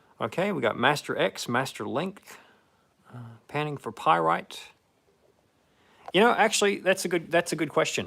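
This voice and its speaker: Vocal fry from a man with an American accent, at a moderate pace, on a very clean recording with a silent background. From United States. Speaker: gold prospector streamer. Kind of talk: live stream chat reading comments. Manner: casual, halting with fillers.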